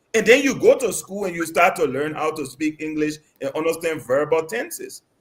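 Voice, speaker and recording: A man talks, keeping a moderate pace. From Liberia. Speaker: political commentator. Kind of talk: radio panel debate.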